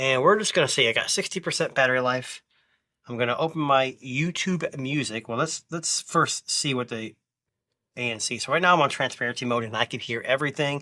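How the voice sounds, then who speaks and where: On a very clean recording with a silent background, a man speaks at a fairly quick pace and fairly high pitch with ordinary pitch variation. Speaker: tech reviewer. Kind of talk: product review tutorial. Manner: loud; casual, hesitant with fillers.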